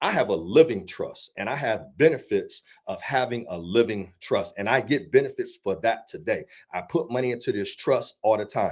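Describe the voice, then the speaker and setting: This man speaks at a moderate pace in an animated tone. The recording is very clean, with a silent background. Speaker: financial educator. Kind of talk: church seminar talk. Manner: loud.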